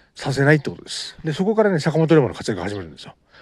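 Talking at a very fast pace, a man uses very wide pitch swings and vocal fry. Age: 30s. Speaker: amateur podcaster and novelist. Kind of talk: casual monologue. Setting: outdoors at a beach. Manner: halting, many fillers.

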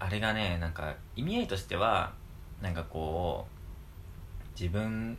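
A man with a very deep, low pitch speaks, and room echo can be heard. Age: 20s. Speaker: podcast co-host. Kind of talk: casual chat. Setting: home.

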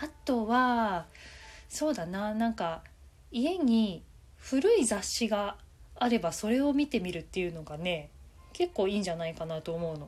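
Music plays behind a woman who speaks at a fairly high pitch and a fairly slow pace, in a relaxed tone with very wide pitch swings. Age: 40s. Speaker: manga artist and podcaster. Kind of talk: solo talk.

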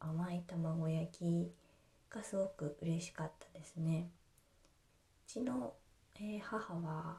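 Very slowly and with long, frequent pauses, a woman speaks at a fairly low pitch in a dark, mellow, somewhat breathy tone with ordinary pitch variation. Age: 30s. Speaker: podcast host, housewife. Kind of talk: casual monologue. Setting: home kitchen. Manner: hesitant, many fillers.

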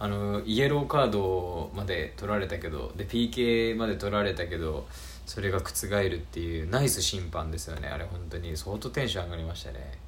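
Calm tone with very wide pitch swings, plus audible room echo. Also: man, very deep, low pitch for a man, moderate pace. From Beppu, Oita, Japan. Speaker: podcast host. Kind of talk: casual solo talk.

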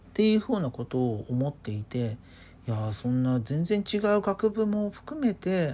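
A woman's relaxed voice with very wide pitch swings. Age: 30s. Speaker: podcaster. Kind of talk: solo casual monologue. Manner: relaxed, chatty.

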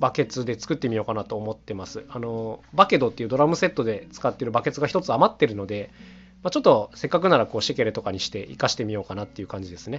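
This man speaks at medium pitch and a very fast pace. His loudness swings widely. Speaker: solo podcaster and instrument maker, household-goods music duo member. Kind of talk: solo monologue podcast. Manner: very fast talking; filler-heavy casual speech.

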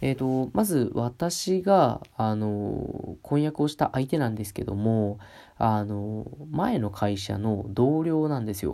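Captured in a very clean recording with a silent background, a man with a dark, mellow tone and medium pitch talks at a very slow pace. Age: 20s. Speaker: podcast host. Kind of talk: solo casual talk. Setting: at home, alone. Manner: polite, hesitant with fillers.

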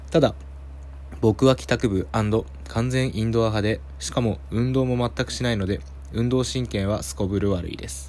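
A man with a fairly low pitch talks at a moderate pace, making very wide pitch swings. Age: 20s. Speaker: podcast host. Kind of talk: casual solo talk.

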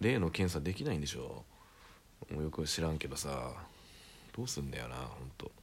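The voice carries vocal fry and lively intonation at a fairly quick pace. Long pauses come often. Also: man. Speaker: solo podcaster. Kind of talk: casual monologue. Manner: casual, rambling with fillers.

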